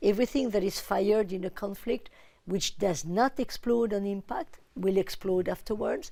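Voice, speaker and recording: A woman with a French accent at a medium pitch, with a dark, mellow tone and ordinary pitch variation, at a fairly slow pace, on a very clean recording with a silent background. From France. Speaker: UN official, disarmament expert. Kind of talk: TV interview.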